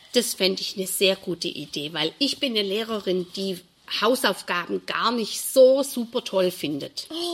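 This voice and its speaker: A woman at medium pitch with lively intonation, over noticeable background noise. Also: moderate pace. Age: 60s. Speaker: primary school teacher. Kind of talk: interview.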